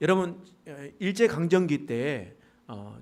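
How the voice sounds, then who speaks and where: A man is talking. Room echo is audible. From rural Pohang area, North Gyeongsang, South Korea. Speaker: pastor. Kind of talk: sermon. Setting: church service.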